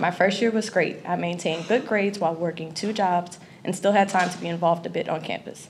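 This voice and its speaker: Fairly low-pitched and somewhat breathy, a woman talks at a very fast pace with fairly even intonation. Light background noise can be heard. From Louisiana, Lafayette. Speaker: college student. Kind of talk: prepared speech. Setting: stage with audience. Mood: grateful, earnest. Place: hall. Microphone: podium.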